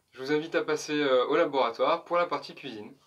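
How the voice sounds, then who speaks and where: A man rattles off his words at a very fast pace. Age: 20s. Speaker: snail farmer. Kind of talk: interview answer.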